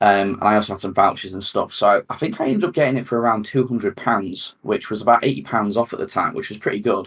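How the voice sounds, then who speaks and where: Talking at a very fast pace with hardly any pauses, a man with a British accent has medium pitch and ordinary pitch variation. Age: 30s. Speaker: gaming podcast host. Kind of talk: casual chat. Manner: halting, many fillers and repeats.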